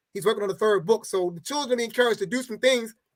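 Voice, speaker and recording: A high-pitched man with an American accent. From Baltimore, Maryland. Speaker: educator and community organizer. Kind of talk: interview.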